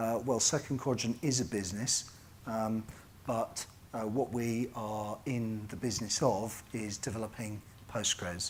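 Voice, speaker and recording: Fairly slow and with fairly even intonation, a man speaks in a British accent. His pitch is medium. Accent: British BBC. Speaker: conference keynote speaker, software company representative. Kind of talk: conference keynote talk. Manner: halting, many fillers.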